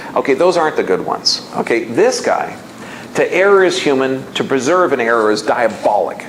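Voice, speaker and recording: A man's fairly high voice at a moderate pace, with very wide pitch swings and very even loudness, amid audible room echo and noticeable background noise. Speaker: health seminar speaker. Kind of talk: lecture.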